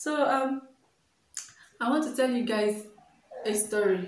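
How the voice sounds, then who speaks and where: Audible room echo surrounds a woman with a Nigerian accent and ordinary pitch variation. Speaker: vlogger. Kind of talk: casual vlog.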